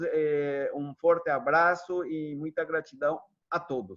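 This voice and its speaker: Speaking very slowly with a Spanish accent, a man uses a fairly high pitch. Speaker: psychologist. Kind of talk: online workshop closing remarks. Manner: halting, with many fillers.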